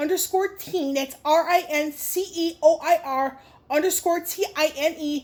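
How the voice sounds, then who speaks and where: Here a woman talks at an extremely high pitch with a slight New Jersey accent. Her pace is very slow and her pitch variation is ordinary. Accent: very light New Jersey. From Chicago, Illinois. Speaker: YouTuber. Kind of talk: Q&A vlog. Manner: halting, many fillers.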